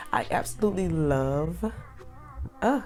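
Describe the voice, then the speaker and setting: A woman with an American accent over background music. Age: 20s. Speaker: beauty consultant. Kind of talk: casual talk to camera.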